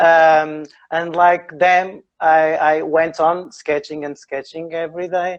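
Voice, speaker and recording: A man with a northern Portuguese accent speaks very slowly in a fairly high pitch, his intonation monotone and flat. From Portugal, Porto (north). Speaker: architect and drawing teacher. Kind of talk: live online interview. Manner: halting, many fillers.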